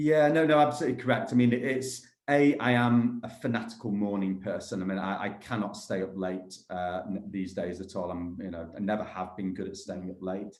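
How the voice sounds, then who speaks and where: A man talks at a fairly quick pace with hardly any pauses, in a fairly low pitch. His pitch varies in an ordinary way, and the room echo is audible. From Manchester, northern England. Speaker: property developer. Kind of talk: interview.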